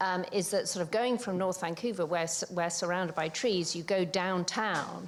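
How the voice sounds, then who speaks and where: A woman speaks in a British accent. Her pitch variation is ordinary. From UK. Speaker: older adult co-researcher, panelist. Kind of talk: panel talk. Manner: halting, many fillers.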